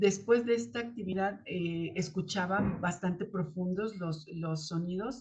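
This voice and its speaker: A fairly slow, somewhat breathy delivery from a woman, medium in pitch. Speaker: spiritual channel host, tarot reader. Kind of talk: spiritual talk to camera. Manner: halting, many fillers; uneven loudness, rising and falling.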